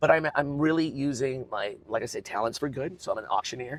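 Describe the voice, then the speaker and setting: A very fast, energetic delivery with ordinary pitch variation. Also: man. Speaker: arena announcer and auctioneer. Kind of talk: interview answer. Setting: inside a car.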